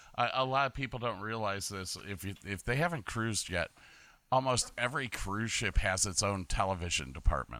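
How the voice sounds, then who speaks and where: Lively and at a fairly quick pace, a man with a fairly low pitch, a bright, sharp tone and vocal fry is heard on a very clean recording with a silent background. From Medina, Ohio. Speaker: podcaster, former cruise ship lighting technician and Navy sailor. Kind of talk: casual chat. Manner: halting, many repetitions.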